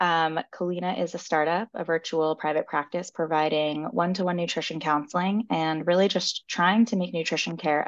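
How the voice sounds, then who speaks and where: Moderate tempo, a plain, everyday voice, fairly low-pitched and female. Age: 20s. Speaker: registered dietitian. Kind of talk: casual interview.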